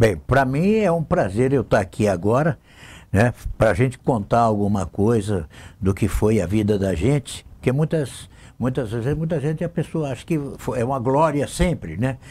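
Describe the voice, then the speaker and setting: In a very clean recording with a silent background, a man of medium pitch speaks at a moderate pace in a dark, mellow, somewhat breathy tone with very wide pitch swings. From Brazil, interior of São Paulo state (Lins). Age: 70s. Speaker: city councillor and radio broadcaster. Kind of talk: interview, life story. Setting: TV studio.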